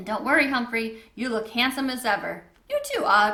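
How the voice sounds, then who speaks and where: A woman's high-pitched, put-on character voice, fairly even in intonation, at a moderate pace. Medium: read story. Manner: cheery.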